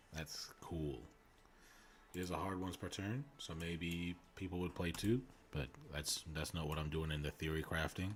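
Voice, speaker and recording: This man's voice sits very deep and low, somewhat breathy, moving at a moderate pace with ordinary pitch variation. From New Zealand. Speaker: gaming streamer. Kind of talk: casual live stream chat. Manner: casual, conversational with fillers.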